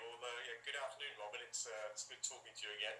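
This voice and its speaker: A man with an English accent speaks, and audible room echo can be heard. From England, Northampton. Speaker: sales executive, supply chain. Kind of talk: interview.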